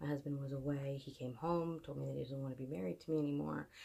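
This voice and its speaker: Soft-spoken, a woman with a very deep, low pitch and a dark, mellow tone talks at a very fast pace. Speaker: fitness and motivation vlogger. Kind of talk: personal monologue. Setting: away from home at night. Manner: hesitant. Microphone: no microphone, device mic.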